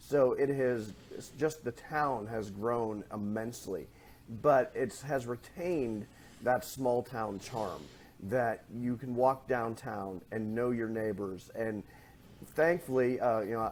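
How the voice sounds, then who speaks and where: A man with a northwest Pennsylvania accent talks at a very slow pace. His medium pitch shows ordinary variation. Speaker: chamber of commerce president, former newspaper editor. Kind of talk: podcast interview.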